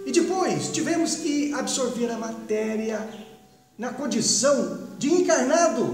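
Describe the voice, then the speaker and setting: A man at a fairly slow pace, with music in the background and audible room echo. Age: 70s. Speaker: spiritist speaker. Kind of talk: spiritual talk.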